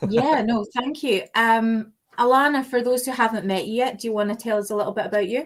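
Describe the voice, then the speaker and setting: Speaking at a fairly quick pace, a woman with a Scottish accent uses a fairly high pitch and fairly even intonation. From Scotland. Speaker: podcast host. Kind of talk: casual chat.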